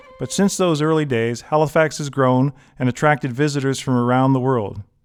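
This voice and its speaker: Backed by music in the background, a man at a medium pitch talks at a fairly quick pace with ordinary pitch variation. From Halifax, Nova Scotia, Canada. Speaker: historian and tour guide narrator. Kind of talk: documentary travel narration.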